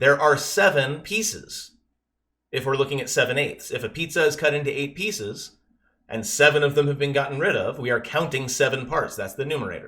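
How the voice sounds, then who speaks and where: This man's voice is fairly high and has a bright, sharp tone. He talks at a fairly quick pace. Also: ordinary pitch variation. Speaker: math teacher. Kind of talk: lesson. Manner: fast.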